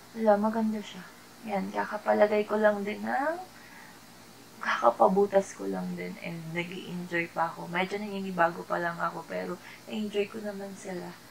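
A woman talks quietly at a moderate pace, her loudness swinging widely. Light background noise sits behind her. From Philippines. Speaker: YouTuber; vlogger. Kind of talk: product haul vlog. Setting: at home at night. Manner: quiet, keeping voice down. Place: home room. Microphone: phone near.

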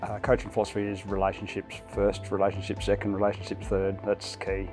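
Over clear background music, a man talks at a fairly quick pace with a fairly low pitch. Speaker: head coach. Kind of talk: interview answer. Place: home room. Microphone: lapel.

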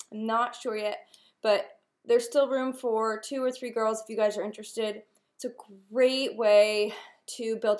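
Against a quiet background, a woman speaks at a moderate pace with fairly even intonation. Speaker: nail wrap seller. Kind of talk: casual vlog chat. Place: home room. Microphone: webcam.

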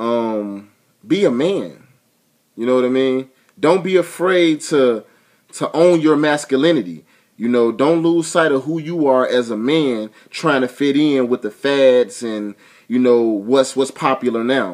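The background is quiet. A man speaks fairly slowly with lively intonation. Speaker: vlogger giving relationship advice. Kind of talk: casual vlog chat. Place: home room. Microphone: webcam.

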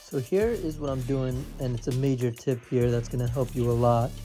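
Faint music sits underneath the speech. A man goes at a fairly quick pace. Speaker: fitness coach. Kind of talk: casual workout tutorial. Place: gym.

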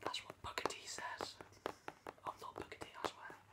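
Whispering and soft-spoken, a man talks at a moderate pace. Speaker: vlogger. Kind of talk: casual vlog chat. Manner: soft close-up ASMR whisper. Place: home room. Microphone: webcam.

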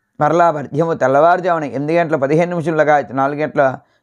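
A man speaks in a plain, everyday voice, fairly high in pitch, with fairly even intonation. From Vizianagaram, Andhra Pradesh, India. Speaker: astrologer priest. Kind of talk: almanac reading and religious advice.

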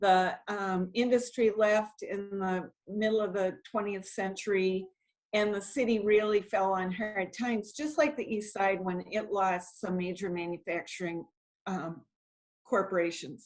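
In an American accent, a woman uses an ordinary speaking voice at a medium pitch, a fairly slow pace and ordinary pitch variation. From New England, Brockton, Massachusetts. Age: 60s. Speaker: city council member. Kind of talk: interview.

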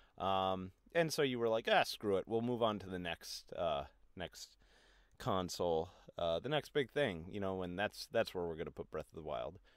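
Lively intonation from a man with a very deep, low pitch. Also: moderate pace. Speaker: video game commentator. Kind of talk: angry rant. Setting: solo video recording. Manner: angry, swearing, indignant.

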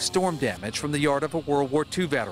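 A man talks at a very fast pace with lively intonation. Clear music plays behind him, and the sound is dry with no echo. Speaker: TV news reporter. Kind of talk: news reporting, live field report in a crisp, polished broadcast delivery. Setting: outdoors, live on location. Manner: formal, steady, authoritative.

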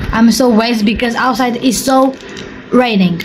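This woman's intonation stays fairly even, her tone slightly mellow, over faint background noise.

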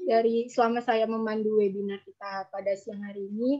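The background is quiet as this woman talks, her pitch varying in an ordinary way. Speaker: webinar moderator. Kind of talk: moderating. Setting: video call. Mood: polite, formal, friendly. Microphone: video call.

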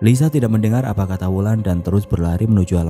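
With ordinary pitch variation, a natural voice reads aloud.

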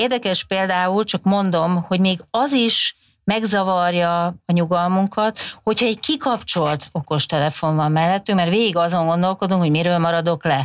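Speaking at a moderate pace, a woman uses a fairly low pitch with ordinary pitch variation. Her loudness is very even. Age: 50s. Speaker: communication researcher, professor; professor. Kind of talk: interview conversation. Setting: studio. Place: studio. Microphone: lapel.

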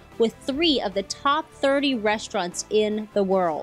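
Over music in the background, a woman speaks at a fairly slow pace, her pitch swinging very widely. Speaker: TV reporter. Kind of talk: on-location TV news reporting.

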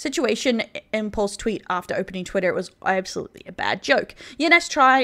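Lively intonation carries an Australian accent over a quiet background. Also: woman. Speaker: vtuber news commentator. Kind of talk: online commentary video. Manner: occasionally stuttering. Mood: serious, measured.

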